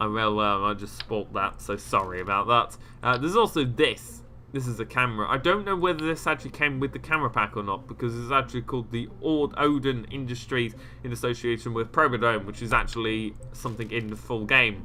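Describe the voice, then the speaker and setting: A man talks at a fairly quick pace in a medium pitch. His pitch varies in an ordinary way, with noticeable background noise present. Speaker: gaming YouTuber. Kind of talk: game mod showcase commentary. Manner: fast.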